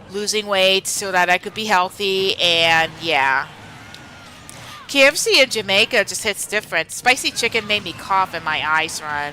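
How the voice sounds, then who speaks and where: A woman with an American accent, big swings in loudness and noticeable background noise. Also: medium pitch for a woman, ordinary pitch variation, moderate pace. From Pennsylvania, US. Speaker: streamer. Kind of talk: casual live-stream chat while gaming. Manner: hesitant, many fillers and restarts.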